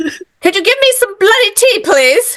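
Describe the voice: In a put-on character voice, a woman speaks fairly slowly at an extremely high pitch. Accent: British.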